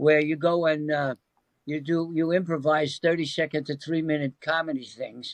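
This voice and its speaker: The sound is dry and close with no echo as a man speaks at a moderate pace and a fairly high pitch. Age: 80s+. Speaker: actor and long-time practitioner of a self-help method. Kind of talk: interview answer.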